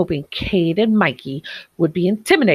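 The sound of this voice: Lively intonation fills an unforced reading voice. Behind it, the background stays quiet.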